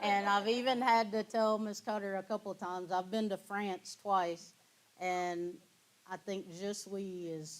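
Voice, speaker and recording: A woman speaks in a Kentucky accent at a moderate pace. Her pitch is medium and her intonation fairly even. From Kentucky (New Zion, near Georgetown). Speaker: guest speaker, former basketball player. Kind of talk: Q&A after lecture.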